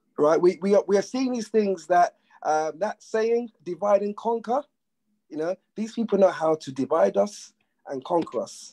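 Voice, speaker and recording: With a London accent, a man talks at a moderate pace in a high pitch, his dark, mellow tone carried by lively intonation in a dry, close sound with no echo. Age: young. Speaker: panel guest on men's mental health discussion. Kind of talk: panel discussion. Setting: live video call.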